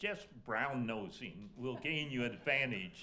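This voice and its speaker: Audible room echo surrounds a man with a medium pitch. His tone is bright and sharp, and his intonation lively. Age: 80s+. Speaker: alumni panelist. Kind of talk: panel discussion. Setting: stage with audience.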